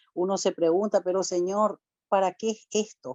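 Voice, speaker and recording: Moderately paced speech from a woman, fairly low in pitch. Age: 60s. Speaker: church speaker giving testimony. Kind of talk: testimony. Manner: emotional.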